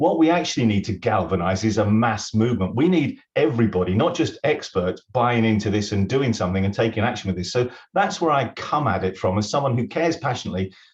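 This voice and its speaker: A man with a British accent talks at a very fast pace. His voice is somewhat breathy and medium in pitch, with lively intonation. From UK. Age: 60s. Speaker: retired accountant and business consultant. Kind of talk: webinar interview.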